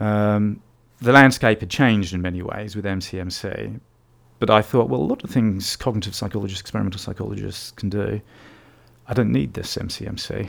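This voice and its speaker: A man talks at a fairly low pitch and a fairly quick pace, with vocal fry and ordinary pitch variation. His loudness swings widely. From Australia, then England from age eleven. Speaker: psychology researcher. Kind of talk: interview. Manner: hesitant, many fillers.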